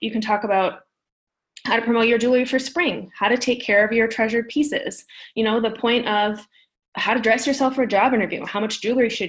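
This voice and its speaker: A woman with a fairly high pitch and ordinary pitch variation speaks at a very fast pace on a very clean recording with a silent background. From North Dakota. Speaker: business strategist and publicist. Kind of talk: interview.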